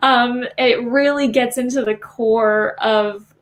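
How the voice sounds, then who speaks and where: A woman talks with fairly even intonation. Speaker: young adult author leading a writing workshop. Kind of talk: online workshop presentation. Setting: livestream. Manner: many filler words.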